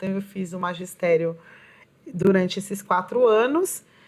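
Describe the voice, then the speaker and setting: A woman's medium-pitched voice at a moderate pace, ordinary pitch variation, noticeable background noise. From Brazilian Northeast (Pernambuco), raised in São Paulo. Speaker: poet and educator. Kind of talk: interview.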